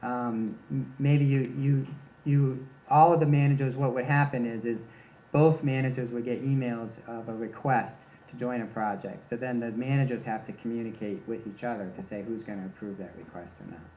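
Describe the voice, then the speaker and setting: Room echo is audible as a man talks at a moderate pace. He has a medium pitch and an American accent. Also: ordinary pitch variation. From US Midwest, Michigan. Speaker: research scientist. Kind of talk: conference talk Q&A. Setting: workshop with live audience.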